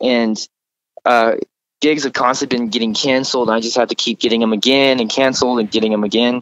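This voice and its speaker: A man with an American accent talks at a medium pitch, the sound dry and close with no echo. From Texas. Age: 20s. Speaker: country musician. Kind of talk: interview. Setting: on tour.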